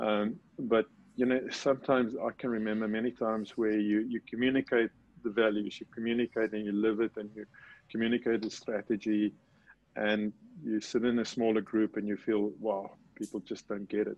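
A man speaks at a moderate pace with a fairly low pitch and monotone, flat intonation. The sound is dry with no echo. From South Africa. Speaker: retired business executive. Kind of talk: interview. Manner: halting, with many repeated words. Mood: reflective. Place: home room. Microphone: video call.

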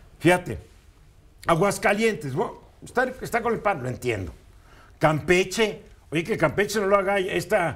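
The speaker is a man. He talks at a fairly slow pace with lively intonation. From Mexico. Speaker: radio news commentator. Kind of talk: opinion talk on news radio. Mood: opinionated, ironic. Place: studio. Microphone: lapel.

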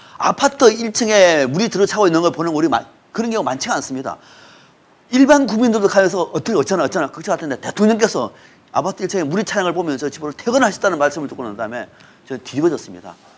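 Talking at a very fast pace, a man with a high pitch makes very wide pitch swings. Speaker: political commentator. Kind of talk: political talk show discussion. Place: studio. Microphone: lapel.

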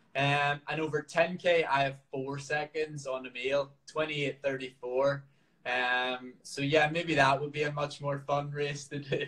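A man's bright, sharp voice in a Northern Irish accent, fairly high-pitched, very slow, and monotone with flat intonation. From Northern Ireland. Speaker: professional marathon runner. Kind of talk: workout tutorial; live stream Q&A. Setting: live video stream from home. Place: home room. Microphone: video call.

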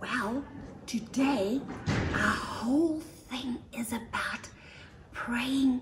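A woman is whispering over light background noise. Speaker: children's ministry presenter; presenter. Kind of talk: children's devotional talk. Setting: outdoors. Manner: animated. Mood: warm, gentle, expressive. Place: garden.

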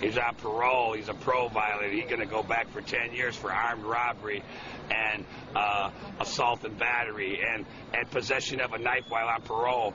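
With an American accent, a man speaks at a medium pitch in a monotone, flat delivery, the sound dry with no echo but with noticeable background noise. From Chicago, Illinois. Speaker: Vietnam veteran. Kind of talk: interview answer. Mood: agitated, indignant storytelling. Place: street. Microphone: phone near.

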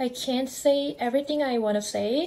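A woman's high-pitched voice in a Korean accent, dark and mellow in tone, with fairly even intonation. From South Korea. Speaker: vlogger. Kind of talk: vlog narration. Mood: reflective, gently frustrated.

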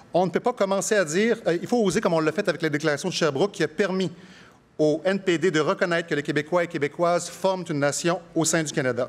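This man has a high-pitched voice with ordinary pitch variation. He talks at a very fast pace. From Quebec. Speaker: politician, leadership candidate; politician, candidate. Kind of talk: political debate. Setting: stage with audience. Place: stage. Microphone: podium.

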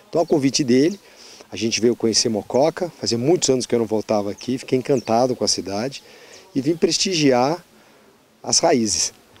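The speech has lively intonation and a fairly quick pace, broken by long, frequent pauses. The sound is dry with no echo. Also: man, medium pitch for a man. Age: 60. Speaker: politician. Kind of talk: interview. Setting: outdoors on a farm. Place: farm. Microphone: handheld.

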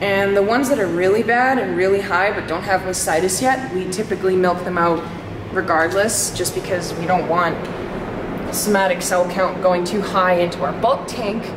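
A woman speaks at a moderate pace with ordinary pitch variation, against loud background noise. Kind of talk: casual vlog chat. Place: farm machine. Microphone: phone near.

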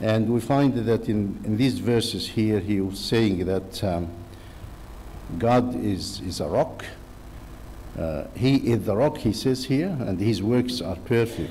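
This voice has a dark, mellow tone, moves at a slow pace and shows ordinary pitch variation. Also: man, fairly low pitch for a man.

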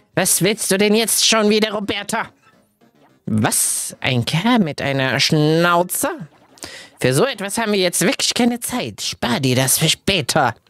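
Shouting in a put-on character voice, someone speaks fairly slowly at a middle pitch. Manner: scolding, imperious, shouting.

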